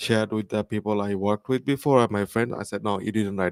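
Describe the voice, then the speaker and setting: Speaking very fast with a non-native accent, a man uses fairly low pitch and fairly even intonation in a dry, close recording with no echo. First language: not English. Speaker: audience member asking questions. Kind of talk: Q&A after a talk.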